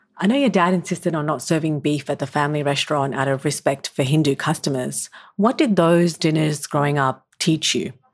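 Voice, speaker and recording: This speaker has an Australian accent and talks at a fairly quick pace with hardly any pauses. The pitch varies in an ordinary way. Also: woman, very deep, low pitch for a woman. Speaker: podcast host. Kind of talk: interview; scripted narration.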